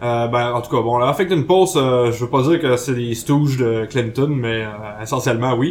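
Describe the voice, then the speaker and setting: The speaker uses a Quebec accent, talking at a fairly slow pace with ordinary pitch variation. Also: man, medium pitch for a man. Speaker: podcast columnist. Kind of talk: casual chat.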